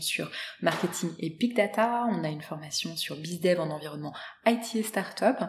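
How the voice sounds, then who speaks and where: Noticeable background noise sits behind the speech. A woman talks with lively intonation. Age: 40s. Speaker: social entrepreneur, founder of a start-up. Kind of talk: interview. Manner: halting, many hesitations.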